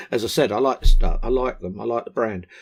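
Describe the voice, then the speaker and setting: Heard on a very clean recording with a silent background, a man speaks with a southern English accent. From southern England, West Sussex. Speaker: vaping product reviewer. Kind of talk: casual vlog talk to camera. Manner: hesitant, many ums and ahs.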